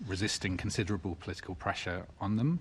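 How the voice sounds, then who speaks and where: A man talks in a somewhat breathy voice. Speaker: witness at committee hearing. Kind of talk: committee testimony. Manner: hesitant, many fillers. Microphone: too far from the mic.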